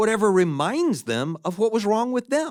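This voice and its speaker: The sound is dry and close with no echo, and the pitch swings very widely. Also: man. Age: 60s. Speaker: podcast host and minister teaching on faith. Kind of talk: casual monologue. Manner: conversational with fillers and self-corrections; acts out quoted voices.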